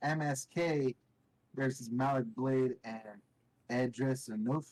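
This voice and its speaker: Medium in pitch, a man's normal speaking voice carries fairly even intonation. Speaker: wrestling podcast host. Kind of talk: casual chat.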